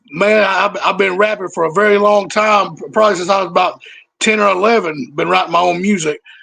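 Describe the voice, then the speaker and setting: A man speaks in a raised, projected voice at a moderate pace, pitched high for a man. His tone is bright and sharp, with ordinary pitch variation. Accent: American. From Mississippi, Boonville. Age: 30s. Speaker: rapper. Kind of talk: casual interview. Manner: halting, repeats words.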